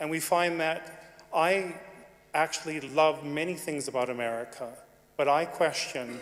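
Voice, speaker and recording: Here a man speaks in a Canadian accent with a fairly high pitch. His pace is moderate and his pitch variation ordinary. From Canada. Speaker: audience member speaking in debate. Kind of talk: debate floor speech. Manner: halting.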